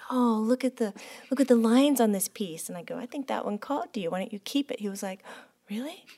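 A woman talks at a very fast pace with fairly high pitch and ordinary pitch variation. The sound is dry and close with no echo, and her loudness swings widely. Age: 40s. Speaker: podcast host and medium. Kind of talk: casual chat.

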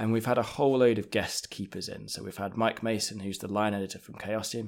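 A man with an English accent speaks at a fairly low pitch. The recording is very clean, with a silent background. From England. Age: 30s. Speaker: podcast game master. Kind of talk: casual interview.

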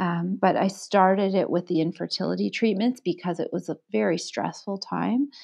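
Lively intonation and some vocal fry come through at a moderate pace with hardly any pauses. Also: woman, fairly low pitch for a woman. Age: 40s. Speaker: librarian. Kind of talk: interview.

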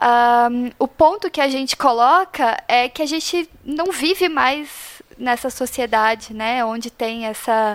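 This woman speaks at a high pitch. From Paraná, Brazil. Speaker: graphic designer, faith project organizer. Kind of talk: casual chat.

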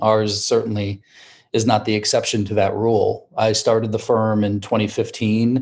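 The speaker is a man with a fairly low pitch. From US Midwest, rural Wisconsin. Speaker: lawyer and law firm founder. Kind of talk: interview.

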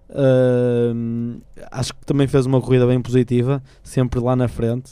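The man's voice is medium-pitched with a dark, mellow tone. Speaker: student radio panelist. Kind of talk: casual chat.

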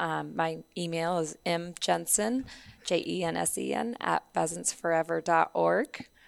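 A woman's raspy, put-on character voice at a very slow pace

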